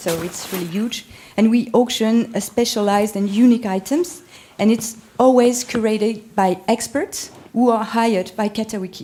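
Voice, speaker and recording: A woman talks with a French accent at a moderate pace. Her pitch is fairly high, with ordinary pitch variation. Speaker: art marketplace manager. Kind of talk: panel presentation. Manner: halting, many fillers.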